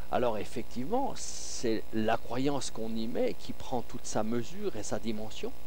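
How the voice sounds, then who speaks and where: A man talks at a fairly slow pace with hardly any pauses. His loudness stays very even throughout. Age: 60s. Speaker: faith healer. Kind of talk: radio interview.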